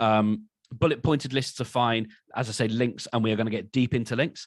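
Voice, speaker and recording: Fairly quick, fairly even intonation from a man at a medium pitch. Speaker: podcasting workshop presenter. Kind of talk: webinar presentation. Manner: fast.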